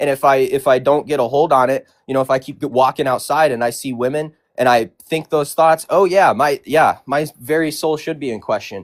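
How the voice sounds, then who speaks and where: A man with an American accent, fairly high-pitched, at a moderate pace, in a very clean recording with a silent background and a dry, close sound with no echo. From Tennessee. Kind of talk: debate. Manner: halting, self-repeating.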